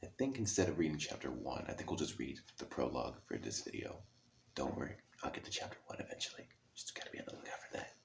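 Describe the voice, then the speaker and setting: Whispered words rush out at a very fast pace over noticeable background noise. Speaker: ASMR reader. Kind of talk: casual talk to camera. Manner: soft-spoken.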